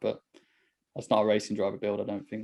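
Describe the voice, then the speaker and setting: A man talks with a Birmingham accent. His pace is fairly quick. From Birmingham, England. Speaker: podcast host and racing driver. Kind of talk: casual chat.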